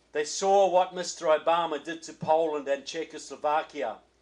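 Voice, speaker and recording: A man with a New Zealand accent, fairly high pitch, fairly even intonation and moderate pace, over a quiet background. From New Zealand, Christchurch. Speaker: political author and speaker. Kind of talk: political speech. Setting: reception with audience.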